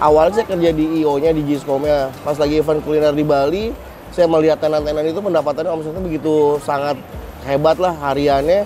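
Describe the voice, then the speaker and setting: This man's voice is fairly high in pitch and his intonation stays fairly even. He speaks at a very fast pace over noticeable background noise. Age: 30s. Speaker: small business owner. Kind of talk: testimonial. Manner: casual.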